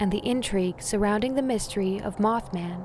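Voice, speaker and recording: A woman with a medium-pitched voice speaks against noticeable background noise. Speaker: radio show host, narrator. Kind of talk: mystery radio show narration, scary stories.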